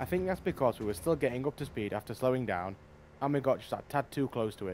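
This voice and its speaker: Speaking at a very fast pace, a man uses a medium pitch. His intonation is lively. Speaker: gaming YouTuber. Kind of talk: gameplay commentary. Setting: voice-over recorded later.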